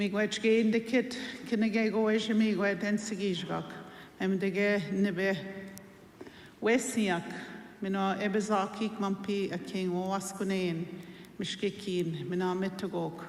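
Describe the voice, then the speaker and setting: A woman with a Canadian accent speaks fairly slowly in a monotone, flat way with long, frequent pauses, amid audible room echo and noticeable background noise. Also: medium pitch for a woman. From Wiikwemkoong, Manitoulin Island, Ontario. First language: Anishinaabemowin. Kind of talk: ceremonial greeting.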